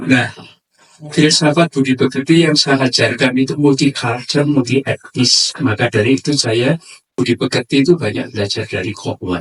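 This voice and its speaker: The sound is dry and close, with no echo. A man talks at a moderate pace in a medium pitch with ordinary pitch variation. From Madura / Surabaya, East Java. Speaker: lecturer / speaker. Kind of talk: lecture to a community forum.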